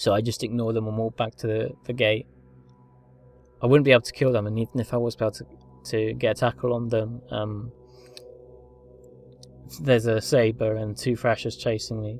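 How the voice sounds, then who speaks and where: Music plays in the background while the speaker leaves long, frequent pauses. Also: man, medium pitch for a man, fairly quick pace. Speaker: video game commentator. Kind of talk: gameplay commentary. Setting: low-quality home recording. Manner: hesitant, many fillers.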